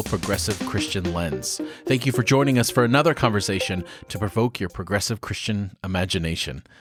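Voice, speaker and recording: Music runs behind a man speaking fairly fast. His intonation is lively. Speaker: podcast host. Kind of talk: podcast intro.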